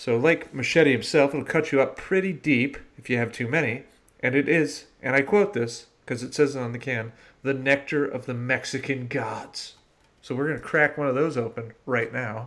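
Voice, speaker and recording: Here is a man with a medium pitch and an animated tone. His pitch varies an ordinary amount. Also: moderate pace. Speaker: podcast host. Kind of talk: casual chat.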